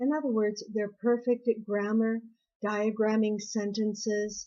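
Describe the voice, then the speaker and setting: Dark and mellow in tone, the voice has an American accent and fairly even intonation. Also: woman. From US Pacific Northwest, Seattle. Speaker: university English lecturer. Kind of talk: prepared talk to camera.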